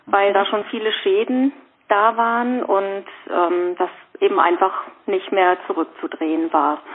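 Noticeable background noise sits behind a woman speaking fairly slowly at medium pitch with ordinary pitch variation. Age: 50s. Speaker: rheumatism patient and course trainer. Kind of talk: casual interview. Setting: phone call. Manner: hesitant, many fillers. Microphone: reduced phone-line quality.

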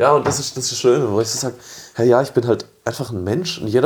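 Talking at a very fast pace, a man with a medium-pitched voice sounds animated, his pitch varying an ordinary amount. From southern Germany, village near Freiburg. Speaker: coffee events organizer. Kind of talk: casual chat.

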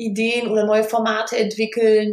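A woman speaks at a fairly slow pace in a fairly high voice. Her intonation is monotone and flat. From Rhineland, Germany (Kreis Düren). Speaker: PR consultant and business networker. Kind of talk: casual interview. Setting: remote recording.

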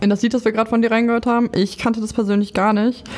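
Her voice sits at a fairly high pitch for a woman. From Lower Saxony. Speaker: podcast host and nurse. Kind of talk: casual interview. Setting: studio.

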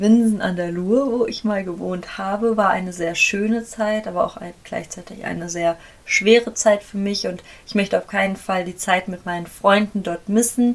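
Noticeable background noise surrounds a woman talking at a moderate pace and medium pitch. Her intonation stays fairly even while her loudness swings widely. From Germany, near Frankfurt am Main. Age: 20s. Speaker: podcaster, equestrian. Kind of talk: casual monologue. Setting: home, dressing room with sheets for acoustics.

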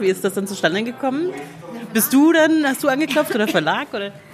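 Noticeable noise sits behind the recording. Over it, a woman talks with lively intonation. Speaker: podcast host, book blogger. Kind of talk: interview. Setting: café.

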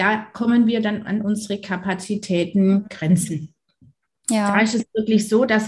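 Very slowly, a woman of medium pitch talks in a somewhat breathy voice with fairly even intonation. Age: 40s. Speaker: dentist. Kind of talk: interview.

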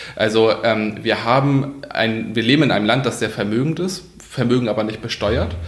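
A man at a medium pitch with ordinary pitch variation, amid noticeable background noise and audible room echo. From northern Germany, Kiel. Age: 30s. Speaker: politician. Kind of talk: interview. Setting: parliament office.

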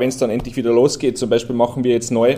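A man with a Rhineland accent and a dark, mellow tone. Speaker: motorsport series manager. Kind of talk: casual interview.

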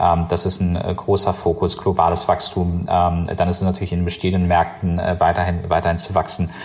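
Over noticeable background noise, a man speaks fast with hardly any pauses, his very deep, low voice monotone and flat. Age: 30s. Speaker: company founder and CEO. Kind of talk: interview. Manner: halting, many fillers.

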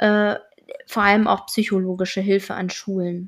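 A woman speaks at a moderate pace in a medium pitch, her intonation monotone and flat. The recording is very clean with a silent background. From northern Germany, Schleswig-Holstein. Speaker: interviewee sharing her educational background. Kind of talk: interview.

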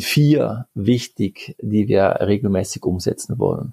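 Dark, mellow male voice, somewhat breathy, with ordinary pitch variation and a dry, close sound with no echo. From Switzerland, Geneva. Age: 40s. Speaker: sports scientist. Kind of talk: interview. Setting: video call.

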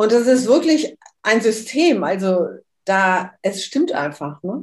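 At a very slow pace, a woman with a fairly high pitch sounds somewhat breathy, her pitch swinging very widely. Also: big swings in loudness. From Switzerland. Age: 60s. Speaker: human design workshop leader. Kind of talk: interview.

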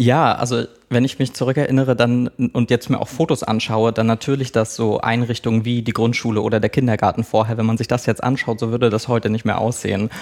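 A man talks at a very fast pace with hardly any pauses, in a slight Mecklenburg accent. His intonation is monotone and flat, and the recording is very clean with a silent background. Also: medium pitch for a man. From Mecklenburg, Schwerin. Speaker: press officer of a film foundation. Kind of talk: interview.

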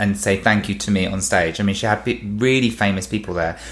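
Speaking with a British accent, a man talks at a fairly low pitch. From England. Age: 30s. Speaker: former stage performer. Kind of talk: casual chat. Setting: studio. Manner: animated.

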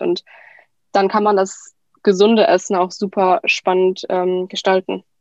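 A woman speaks in a monotone, flat intonation, with a dry, close sound and no echo. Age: 20s. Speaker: cookbook author. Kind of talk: casual interview.

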